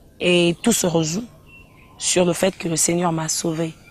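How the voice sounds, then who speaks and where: This woman speaks at a fairly low pitch. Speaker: gospel singer. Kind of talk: interview. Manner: hesitant, repeats words.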